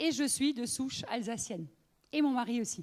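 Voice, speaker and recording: The voice belongs to a woman and sits high. Intonation rises and falls in a lively way. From Alsace, France (northern, near Lorraine border). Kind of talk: testimony. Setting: women's meeting with audience. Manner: conversational, many fillers.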